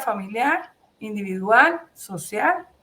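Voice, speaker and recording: A woman is speaking. Her pitch is fairly high. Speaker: journalist. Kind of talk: interview. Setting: video call. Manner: halting.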